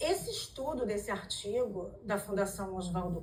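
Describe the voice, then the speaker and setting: With lively intonation and some vocal fry, a woman talks in a room with audible echo. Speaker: lawyer. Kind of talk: symposium lecture. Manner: hesitant fillers.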